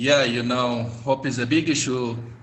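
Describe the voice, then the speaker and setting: A man with an Ethiopian accent, at a very slow pace. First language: Gamo. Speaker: interview guest. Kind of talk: interview.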